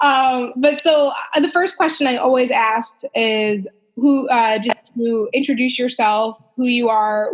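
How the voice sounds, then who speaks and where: Speaking at a fairly slow pace, a woman has a high pitch and an American accent. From US Northeast, New York. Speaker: podcast host and dietitian. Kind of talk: podcast interview.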